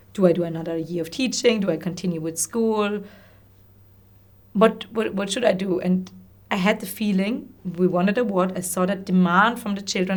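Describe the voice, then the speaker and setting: This woman talks at a fairly quick pace with a medium pitch. Her pitch varies in an ordinary way. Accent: German. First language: German. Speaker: social entrepreneur and former teacher. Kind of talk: interview conversation. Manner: halting, many repetitions and fillers.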